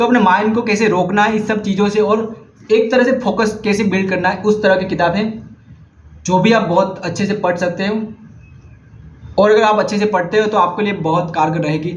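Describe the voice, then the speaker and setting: A man with a Gujarati accent talks at a moderate pace and a high pitch, with fairly even intonation. Noticeable background noise and audible room echo fill the recording. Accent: Gujarati-accented Hindi. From India, Gujarat. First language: Gujarati (speaking Hindi). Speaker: vlogger, book recommender. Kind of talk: casual vlog monologue. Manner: halting, self-correcting.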